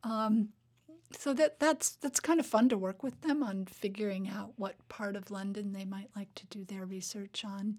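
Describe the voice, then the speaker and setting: Somewhat breathy, a woman at medium pitch talks at a moderate pace with ordinary pitch variation. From Alaska, Fairbanks. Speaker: English professor and writer. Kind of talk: interview. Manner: halting, with frequent repetitions.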